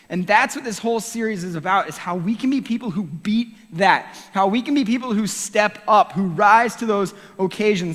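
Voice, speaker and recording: A man speaks loudly in a high voice at a moderate pace, with ordinary pitch variation. There is noticeable background noise. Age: 30s. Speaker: youth pastor. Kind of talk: sermon. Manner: animated.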